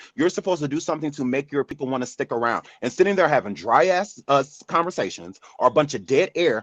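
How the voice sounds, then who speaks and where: The sound is dry and close with no echo as a man talks at a fairly quick pace. His fairly high pitch shows vocal fry and ordinary variation. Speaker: live audio show host. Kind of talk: casual chat. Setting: live audio app room. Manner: calm, not loud.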